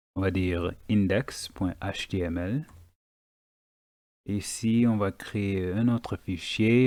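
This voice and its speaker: On a very clean recording with a silent background, a man with a non-native accent speaks very slowly in a fairly low pitch, his tone dark and mellow and his pitch variation ordinary. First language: not French (speaking French). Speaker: web development teacher. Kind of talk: tutorial. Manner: hesitant, many fillers.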